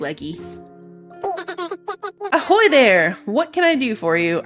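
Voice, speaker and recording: This put-on character voice sits at a fairly high pitch, with very wide pitch swings. It moves at a fairly slow pace while faint music plays in the background. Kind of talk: playful, greeting.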